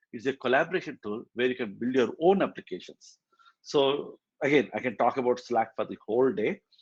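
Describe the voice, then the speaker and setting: With an unremarkable speaking voice, a man talks at a fairly quick pace and with ordinary pitch variation, the sound dry and close with no echo. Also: medium pitch for a man. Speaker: tech community meetup organizer and speaker. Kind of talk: technical presentation. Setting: hybrid meetup, in person and online.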